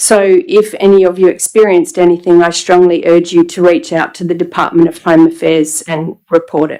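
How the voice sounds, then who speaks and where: A woman with an Australian accent speaks with a shaky, dark, mellow tone at a fairly low pitch. She moves at a fairly quick pace with hardly any pauses and fairly even intonation. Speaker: member of the public addressing council. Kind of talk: public statement. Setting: council chamber meeting.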